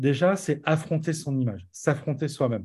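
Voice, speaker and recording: A man speaks in a plain, everyday voice, fairly high in pitch and at a moderate pace. The background is quiet. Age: 40s. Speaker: entrepreneur and musician. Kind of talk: casual interview.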